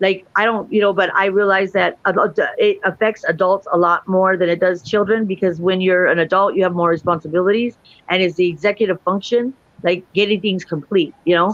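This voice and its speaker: A woman's medium-pitched voice at a fairly quick pace, with fairly even intonation and very even loudness. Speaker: guest on talk show. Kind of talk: casual chat. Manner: fast.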